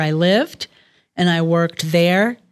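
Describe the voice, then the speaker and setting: A woman with a plain, everyday voice at a fairly slow pace. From New York City, Queens. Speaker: boutique founder. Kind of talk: interview.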